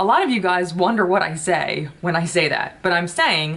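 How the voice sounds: A woman talks at a moderate pace with a fairly bright tone.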